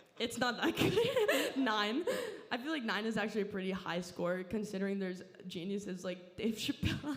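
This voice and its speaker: A woman with a Southern California accent speaks at a medium pitch and a moderate pace with ordinary pitch variation, amid noticeable background noise and audible room echo. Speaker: comedian. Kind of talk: stand-up. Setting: stage with audience.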